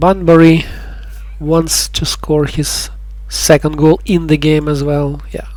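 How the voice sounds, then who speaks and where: A non-native accent comes through. The delivery moves at a fairly slow pace. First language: not English. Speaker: gaming youtuber. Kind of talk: gameplay commentary. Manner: halting, with pauses.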